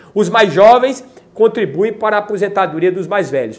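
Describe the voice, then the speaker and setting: This man speaks with a Brazilian accent and a high pitch. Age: 40s. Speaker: YouTuber. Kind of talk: video monologue on politics.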